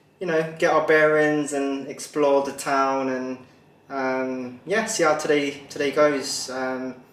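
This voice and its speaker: A man speaking at a very slow pace with fairly even intonation, amid audible room echo. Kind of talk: casual vlog chat. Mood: relaxed, joking, laughing. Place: kitchen. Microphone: camera far.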